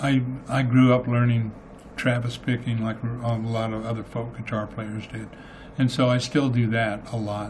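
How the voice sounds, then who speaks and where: A man at a moderate pace, his intonation monotone and flat, with noticeable background noise and audible room echo. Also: medium pitch for a man. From US Southwest (Clayton, New Mexico). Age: 70s. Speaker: singer-songwriter. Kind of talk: radio interview. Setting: studio.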